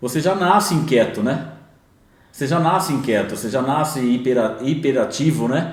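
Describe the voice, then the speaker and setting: Audible room echo surrounds a man's voice. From interior of São Paulo state, Bauru, then São Paulo city from age 8. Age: 50s. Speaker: entrepreneur in construction. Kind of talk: podcast interview.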